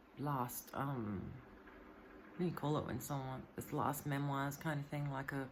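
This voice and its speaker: A woman speaks at a moderate pace with a very deep, low pitch. Audible room echo surrounds her voice. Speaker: vlogger. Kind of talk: personal video monologue. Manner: halting, stuttering.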